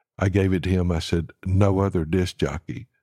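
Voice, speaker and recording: This man's voice sits very deep and low, with a dark, mellow tone and a dry, close sound that has no echo. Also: very clean recording, silent background. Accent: Southern US. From Alabama (Huntsville). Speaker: songwriter. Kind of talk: interview. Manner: halting.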